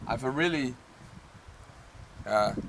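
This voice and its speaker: With a non-native accent, a man talks at a very slow pace. His voice sits at medium pitch. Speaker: crafts YouTuber. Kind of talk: tutorial. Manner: halting.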